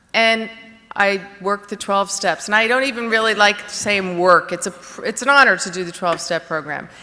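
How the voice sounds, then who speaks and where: Over noticeable background noise, a woman with a New Jersey accent speaks at a medium pitch with ordinary pitch variation. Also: moderate pace. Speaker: recovery speaker. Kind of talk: testimony. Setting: stage with audience. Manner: halting, many fillers.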